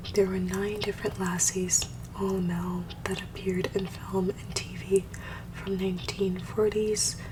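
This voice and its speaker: A woman talks at a fairly slow pace with noticeable background noise. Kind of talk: ASMR soft-spoken reading of dog facts.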